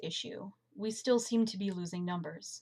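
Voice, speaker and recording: Somewhat breathy and medium in pitch, a woman speaks at a moderate pace with ordinary pitch variation on a very clean recording with a silent background. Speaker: community college student. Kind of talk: class presentation.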